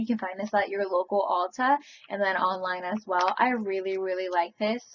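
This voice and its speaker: Fairly quick, medium-pitched speech from a woman, with noticeable background noise. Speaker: beauty vlogger. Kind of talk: product review monologue. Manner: fast; casual, filler-heavy.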